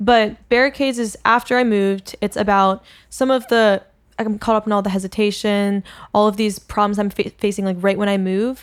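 In a very clean recording with a silent background, a woman talks at a fairly quick pace with a medium pitch, fairly even intonation and a normal speaking voice. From US Northeast, Philadelphia. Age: 20s. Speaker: singer-songwriter. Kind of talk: casual chat.

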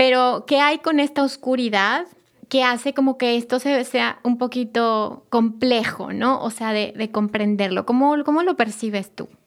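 A woman with a Mexican accent speaks at a high pitch. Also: ordinary pitch variation, fairly slow pace. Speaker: podcast host, spiritual therapist. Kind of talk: interview.

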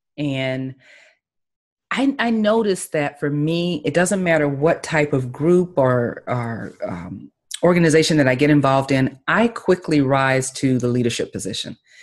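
A woman with a Southern US accent speaks at a very deep, low pitch. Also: lively intonation, moderate pace. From US South, Tallahassee, Florida. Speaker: life and business coach. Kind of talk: interview.

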